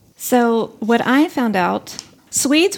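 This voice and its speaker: There is noticeable background noise. Over it, a woman talks. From outside Sweden, immigrant. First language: not Swedish. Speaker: podcast host. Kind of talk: casual chat.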